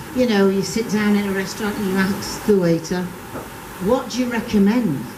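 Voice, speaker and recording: A woman talks at a medium pitch with ordinary pitch variation. Noticeable background noise and audible room echo surround her voice. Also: moderate pace. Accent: English. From England. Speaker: comedian. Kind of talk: stand-up.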